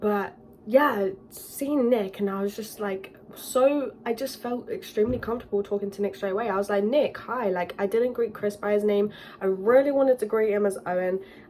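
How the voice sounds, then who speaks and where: A woman speaks at a fairly high pitch in a dark, mellow tone. Her pace is moderate and her intonation fairly even. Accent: British. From UK. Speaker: YouTuber. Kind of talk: storytime vlog.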